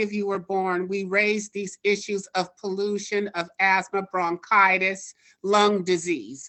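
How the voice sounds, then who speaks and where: A woman with an unremarkable speaking voice, medium in pitch, at a fairly slow pace with fairly even intonation. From Oakland, California. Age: 60s. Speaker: public commenter. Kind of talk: public comment at online town hall.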